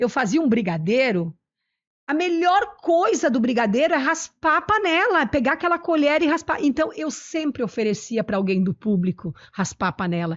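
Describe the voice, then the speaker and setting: Her high-pitched voice swings very widely in pitch as this woman speaks at a moderate pace. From southern Brazil, Italian-descended interior (Nova Brescia, RS). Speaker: cooking youtuber and entrepreneur. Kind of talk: interview. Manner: loud; animated.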